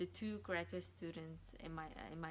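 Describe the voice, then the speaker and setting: A woman with a non-native accent speaks at a fairly slow pace and a fairly low pitch. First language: not English. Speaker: graduate student. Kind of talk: testimony.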